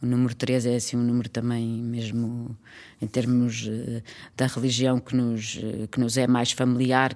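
A woman speaks at a moderate pace with a slight Trás-os-Montes accent. Her pitch is very deep and low. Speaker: actress and children's theatre director. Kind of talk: casual interview.

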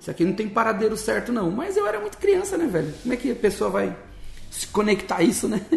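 The man's pitch is high and his pace very fast. Noticeable background noise runs beneath him. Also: ordinary pitch variation. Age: 40s. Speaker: missionary. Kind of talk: interview, personal testimony. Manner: casual, colloquial.

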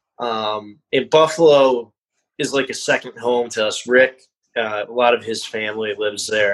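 A man speaks at a fairly slow pace in an American accent, his pitch medium and his intonation fairly even. He has a normal speaking voice. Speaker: band member, musician. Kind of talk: casual chat, podcast interview.

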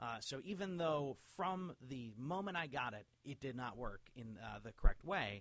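Here is a man with an unremarkable speaking voice. His pitch is fairly high and his intonation lively. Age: 30s. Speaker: podcast host and pinball collector. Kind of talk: casual interview chat.

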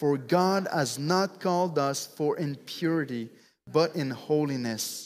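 A man with a French accent, a fairly high pitch, ordinary pitch variation and a fairly slow pace, on a very clean recording with a silent background. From Quebec. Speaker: preacher. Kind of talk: sermon. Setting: church.

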